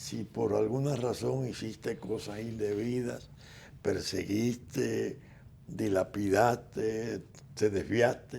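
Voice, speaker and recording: A man's dark, mellow voice, fairly low in pitch with ordinary variation, at a very slow pace. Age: 80s+. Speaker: political figure and commentator. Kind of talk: interview.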